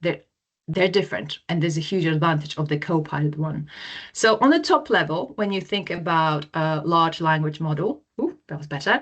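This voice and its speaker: Her voice is fairly low, with ordinary pitch variation. The woman is heard over a quiet background. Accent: non-native. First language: not English. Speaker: webinar presenter. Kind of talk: webinar presentation. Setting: online webinar. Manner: casual, conversational.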